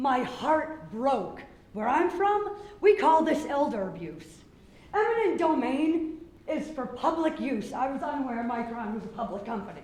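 A man's voice at a moderate pace with very wide pitch swings, amid noticeable background noise and audible room echo. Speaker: retired Marine and business owner. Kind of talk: public hearing comment. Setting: public hearing room with microphone.

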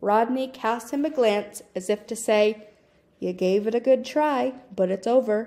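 Delivered in a natural reading voice, the speech shows ordinary pitch variation.

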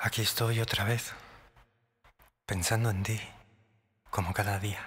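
This man's voice sits fairly low in pitch. He talks at a fairly slow pace in a monotone, flat intonation. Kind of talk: romantic whispered ASMR monologue. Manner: soft, intimate, slow.

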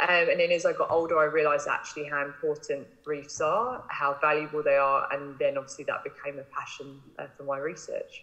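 A woman with an English accent speaks at a fairly quick pace. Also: hardly any pauses. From England. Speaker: marine biologist. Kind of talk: interview.

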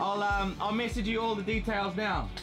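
Over clear background music, a man with a high pitch talks at a moderate pace with fairly even intonation.

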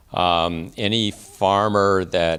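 In an American accent, a man with a very deep, low pitch speaks in a flat monotone. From US South, South Carolina. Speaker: state agriculture official. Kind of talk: lecture. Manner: slow; hesitant, many fillers.

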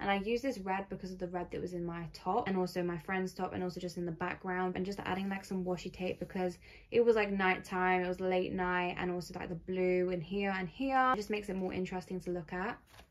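The speaker goes very fast with hardly any pauses. Intonation stays fairly even over a quiet background. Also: woman. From England. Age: 20s. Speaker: YouTuber. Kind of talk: casual crafting vlog. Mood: warm, pleased. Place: home room. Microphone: phone near.

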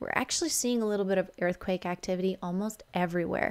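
A woman talks at a fairly quick pace. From Alberta, Canada. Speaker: spiritual energy vlogger. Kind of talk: casual video monologue explaining charts. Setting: home video recording. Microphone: studio mic.

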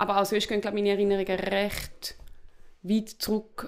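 A woman at a fairly quick pace. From eastern Switzerland. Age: 30s. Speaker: novelist. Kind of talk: interview conversation. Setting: at home.

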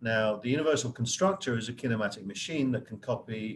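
Over light background noise, a man speaks at a fairly quick pace with ordinary pitch variation. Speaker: professor guest speaker. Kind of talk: lecture. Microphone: video call.

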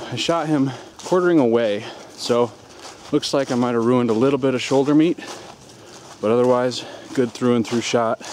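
Over light background noise, a man talks with ordinary pitch variation in a dry sound with no echo. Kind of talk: casual vlog chat. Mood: jokey, relaxed. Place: forest. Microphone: phone near.

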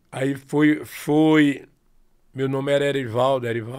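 A man speaks with a Sergipe accent at a very slow pace, his intonation monotone and flat over a quiet background. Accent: Sergipe northeastern Brazilian Portuguese. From interior of Sergipe, northeastern Brazil. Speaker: forró singer and accordionist; guest. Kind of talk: casual interview chat. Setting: studio, live-streamed podcast. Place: studio. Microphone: studio mic.

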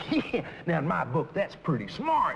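Light background noise behind a male speaker. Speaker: car salesman character. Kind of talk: scripted sales dialogue. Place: shop.

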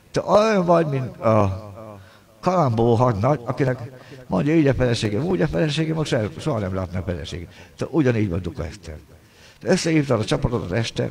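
Over light background noise, a man speaks at a very fast pace. His voice is somewhat breathy, with very wide pitch swings. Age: 60s. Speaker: pianist and livestreamer; livestreamer. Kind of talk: angry livestream rant. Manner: agitated. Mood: aggrieved, complaining. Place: home room. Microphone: earbuds.

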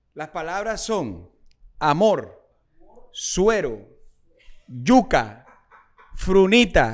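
Very wide pitch swings mark a man's high-pitched voice. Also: quiet background. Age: 30s. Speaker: social media entertainer and interviewer; podcast host. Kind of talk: casual interview. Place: home room. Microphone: studio mic.

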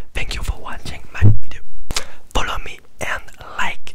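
A soft-spoken man whispers at a moderate pace. Noticeable background noise runs underneath. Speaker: ASMR creator. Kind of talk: whispered ASMR talk. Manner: soft close-mic ASMR whisper. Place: home room. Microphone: studio mic.

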